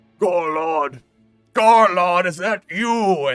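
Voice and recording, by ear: A man uses a put-on character voice pitched high. Faint music plays in the background.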